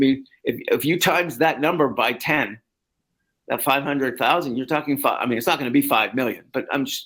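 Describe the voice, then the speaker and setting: In a Canadian accent, a man with an unremarkable speaking voice talks at a fairly quick pace and a fairly high pitch, on a very clean recording with a silent background. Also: ordinary pitch variation. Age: 60s. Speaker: sports journalist. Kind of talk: podcast interview.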